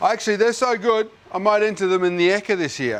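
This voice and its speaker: Here a man speaks with an Australian accent. His intonation is lively. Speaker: TV chef. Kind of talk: cooking tutorial. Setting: kitchen studio on camera. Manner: loud; animated.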